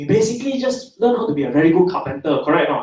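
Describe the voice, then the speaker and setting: A man speaks with a Singaporean accent. His pitch swings very widely. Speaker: internet entrepreneur, seminar speaker. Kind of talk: seminar talk to live audience. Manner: animated.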